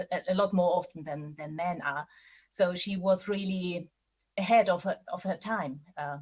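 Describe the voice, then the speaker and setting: Somewhat breathy and fairly low-pitched, a woman talks at a moderate pace with fairly even intonation. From Austria. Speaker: novelist. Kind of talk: panel interview. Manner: halting.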